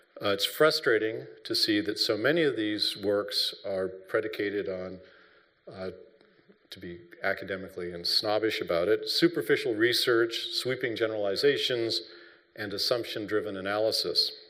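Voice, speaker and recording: In an American accent, a man speaks at a moderate pace with big swings in loudness, and room echo is audible. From US, Hawaii. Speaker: professor, military historian. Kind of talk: lecture. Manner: hesitant, many fillers.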